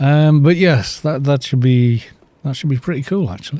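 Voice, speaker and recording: This man has a Welsh accent. His voice has a dark, mellow tone. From Wales. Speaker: gaming streamer. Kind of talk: live game commentary. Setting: live stream. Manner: loud, projecting. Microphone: too quiet for viewers.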